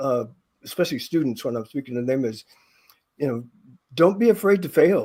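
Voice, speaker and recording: A man with a fairly high pitch and a dark, mellow tone talks at a fairly quick pace. His pitch swings very widely, and he leaves long, frequent pauses. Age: 70s. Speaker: retired NASA engineer and memoir author. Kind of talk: podcast interview. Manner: halting, many repeated words.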